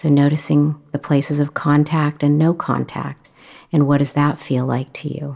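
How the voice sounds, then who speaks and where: Monotone, flat delivery in a dark, mellow, calm and soothing tone, on a very clean recording with a silent background. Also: woman, very deep, low pitch for a woman. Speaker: mindfulness meditation teacher. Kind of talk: guided meditation (body scan). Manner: slow, calm, soothing.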